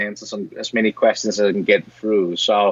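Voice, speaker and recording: A man's fairly low voice with a Danish accent. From Denmark. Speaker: software educator, former mold maker. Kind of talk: interview.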